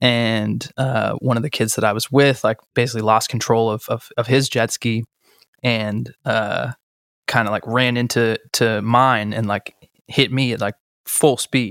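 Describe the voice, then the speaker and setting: A man speaks slowly-ish at a medium pitch in a monotone, flat delivery, with a dry, close sound and no echo. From Boston. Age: 20s. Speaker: hip-hop artist. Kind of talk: interview conversation. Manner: casual with many fillers.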